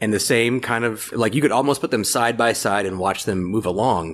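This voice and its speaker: With an American accent, a man talks in a plain, everyday voice at medium pitch, with ordinary pitch variation. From Florida, US South (Ocala). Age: 40s. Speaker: movie fan, guest commentator. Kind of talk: casual chat.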